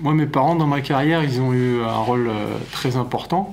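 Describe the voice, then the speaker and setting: Noticeable background noise and audible room echo accompany a man speaking. His medium pitch shows ordinary pitch variation. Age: 30s. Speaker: olympic kayaker. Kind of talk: documentary interview.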